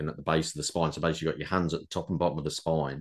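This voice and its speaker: Against a quiet background, a man speaks. His pitch is very deep and low. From England, Lincolnshire. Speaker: podcast host, energy healer. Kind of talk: casual conversation.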